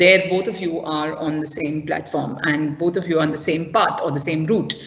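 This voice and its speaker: Against noticeable background noise, a woman speaks at a moderate pace in a fairly low pitch. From South India. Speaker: school parenting workshop presenter. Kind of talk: online parent workshop talk. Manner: hesitant, many fillers.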